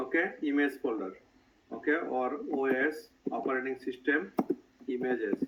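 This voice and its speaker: A man speaks at a moderate pace. His speech has long, frequent pauses. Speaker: IT trainer. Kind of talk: tutorial.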